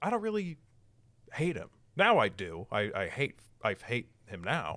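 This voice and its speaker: This man has an American accent and a bright, sharp tone. He speaks at a moderate pace with very wide pitch swings. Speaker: podcast host. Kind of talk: casual chat.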